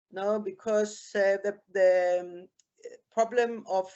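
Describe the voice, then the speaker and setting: Speaking at a very slow pace, a woman holds a medium pitch with fairly even intonation. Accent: German. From Germany. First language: German. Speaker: beach cleaner, former tourism manager, participant. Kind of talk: public consultation comment. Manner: halting.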